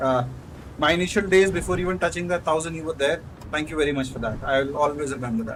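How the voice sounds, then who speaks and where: A man with an Indian accent, fairly high pitch, ordinary pitch variation and a very fast pace. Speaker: gaming streamer. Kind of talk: live gameplay commentary. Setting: at the office. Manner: casual, halting with fillers.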